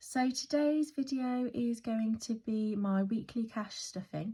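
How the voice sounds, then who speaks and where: A woman with an English accent speaks at a very slow pace with ordinary pitch variation in a very clean recording with a silent background. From West Midlands, UK. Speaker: budgeting vlogger. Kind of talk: casual talk to camera.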